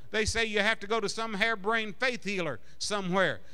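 Against a quiet background, a man projects a raised voice with a bright, sharp tone, high pitch and fairly quick pace. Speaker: preacher. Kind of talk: sermon. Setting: church congregation. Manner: fervent, insistent, building to a rousing call-and-response. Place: church. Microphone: handheld.

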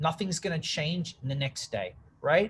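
Energetic in tone, a man with an Australian accent speaks at a moderate pace with ordinary pitch variation over light background noise. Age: 30s. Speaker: public speaker and social media marketer. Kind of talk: interview conversation. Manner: loud. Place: office. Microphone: video call.

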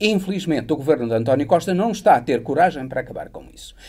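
A man's dark, mellow tone moves through very wide pitch swings. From Portugal. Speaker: political commentator. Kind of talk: political analysis interview. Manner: hesitant, many filler sounds. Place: studio. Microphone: lapel.

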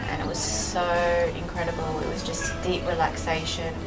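Music playing behind a woman talking at a moderate pace. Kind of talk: interview answer. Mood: calm, reflective. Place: street.

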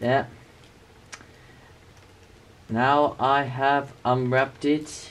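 Very slowly, a man speaks at medium pitch in a fairly bright tone with little pitch movement.

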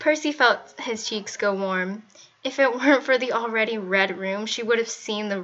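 Ordinary pitch variation marks this natural reading voice.

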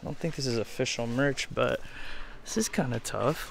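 Light background noise around a man's voice, dry sound with no echo. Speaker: thrift vlogger. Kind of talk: casual vlog chat. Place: shop. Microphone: phone near.

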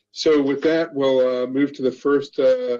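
Delivered at a fairly quick pace, the voice has a dark, mellow tone and fairly even intonation. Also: man. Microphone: video call.

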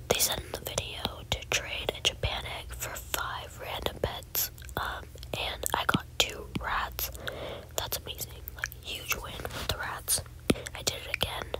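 A woman whispering at a fairly slow pace, with big swings in loudness and noticeable background noise. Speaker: ASMR creator. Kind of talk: ASMR gameplay rambling. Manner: soft whispering.

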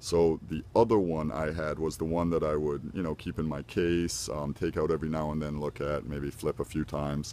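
A man's very deep, low voice with a dark, mellow tone, fairly even intonation, a moderate pace and hardly any pauses, dry with no echo, over light background noise. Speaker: knife collector. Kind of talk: casual talk to camera. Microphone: phone near.

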